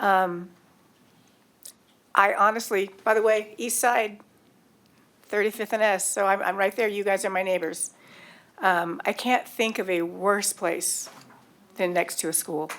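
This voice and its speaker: A woman speaks at a fairly slow pace with a medium pitch and fairly even intonation, leaving long, frequent pauses. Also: very clean recording, silent background. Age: 60s. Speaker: city council member. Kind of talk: council meeting debate. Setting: council chamber meeting. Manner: halting.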